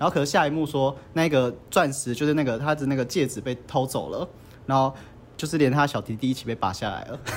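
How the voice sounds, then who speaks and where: Very fast, animated speech in a Taiwanese accent. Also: man. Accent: Taiwanese Mandarin. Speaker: podcast host. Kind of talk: casual chat. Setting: mahjong room venue. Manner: animated, frequent laughter.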